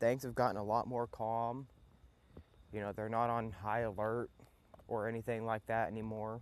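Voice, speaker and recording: A man speaks in a Southern US accent at a moderate pace and medium pitch. His intonation is monotone and flat, broken by long, frequent pauses. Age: young. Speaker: podcast host, mechanic. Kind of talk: casual monologue. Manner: laid-back, hesitant with fillers.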